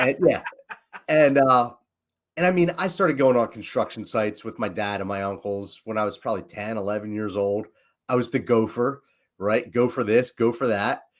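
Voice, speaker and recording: A man with a Philadelphia accent speaks at a medium pitch and moderate pace with lively intonation, on a very clean recording with a silent background. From Philadelphia, US. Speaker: leadership coach and entrepreneur. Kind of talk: casual podcast chat. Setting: livestream.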